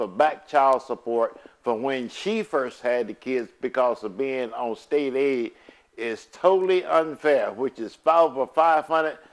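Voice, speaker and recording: At a moderate pace, a man uses an unremarkable speaking voice with ordinary pitch variation. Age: 60s. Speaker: custodial father speaking out. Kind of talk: personal video appeal.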